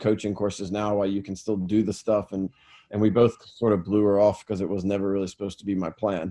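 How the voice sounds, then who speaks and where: Speaking very fast in an American accent, a man with a fairly low pitch and a dark, mellow tone keeps a monotone, flat intonation. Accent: American, noticed as non-South African. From US, Raleigh, North Carolina. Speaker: football academy founder and coach. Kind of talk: interview.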